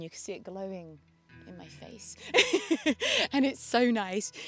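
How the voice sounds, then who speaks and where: With a British accent, a woman speaks at a moderate pace with ordinary pitch variation in a very clean recording against a silent background. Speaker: vlogger. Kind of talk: vlog. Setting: outdoors.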